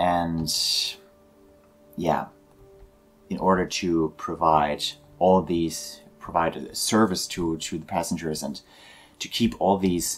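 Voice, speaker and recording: Speaking with a German accent, a man has a very deep, low pitch and fairly even intonation. He moves at a fairly slow pace with long, frequent pauses, while music plays in the background. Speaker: video game tour guide. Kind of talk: guided tour narration. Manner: halting.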